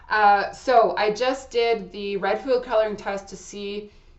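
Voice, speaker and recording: The speech comes at a fairly slow pace with fairly even intonation. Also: woman. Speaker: astrology channel creator giving personal product review. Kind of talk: casual personal review monologue. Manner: loud; hesitant, with fillers and restarts.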